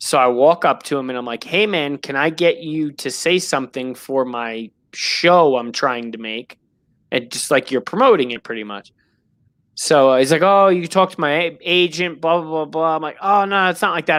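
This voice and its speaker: The recording is very clean, with a silent background. A man with a New York accent speaks at a fairly high pitch with lively intonation. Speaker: sports podcast host. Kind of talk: show sign-off; casual chat.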